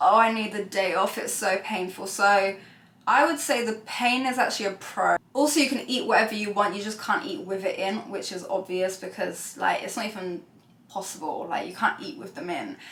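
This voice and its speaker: A woman in a British accent speaks at a moderate pace with a medium pitch and lively intonation over noticeable background noise. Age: 20s. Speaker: beauty vlogger. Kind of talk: casual vlog talk to camera. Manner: chatty, many fillers.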